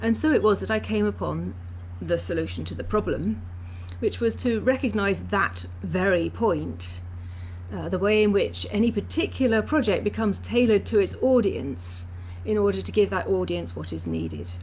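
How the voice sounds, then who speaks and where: Room echo can be heard as a woman speaks at a moderate speed. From English Canada. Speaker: university Sanskrit teacher and researcher. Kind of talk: recorded lecture. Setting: pre-recorded talk for online live session.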